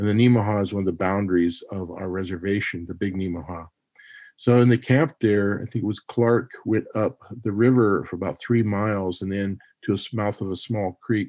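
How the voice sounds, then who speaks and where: This man has an unremarkable speaking voice, fairly low in pitch, with an American accent. He keeps a moderate pace and fairly even intonation. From Montana. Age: 60s. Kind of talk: interview.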